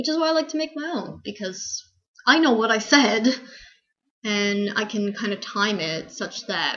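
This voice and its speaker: A woman speaks in a fairly high pitch with lively intonation. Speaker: vlogger sharing eating disorder recovery. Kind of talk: casual vlog update. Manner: fast.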